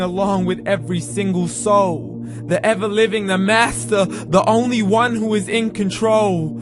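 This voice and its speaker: Music plays in the background as the voice moves at a moderate pace. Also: man. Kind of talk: spoken word poetry.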